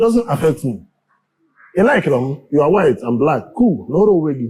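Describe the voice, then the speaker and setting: A man's dark, mellow voice with a Nigerian accent and very wide pitch swings. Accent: Nigerian Igbo English. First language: Igbo. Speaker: community leader. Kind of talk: interview.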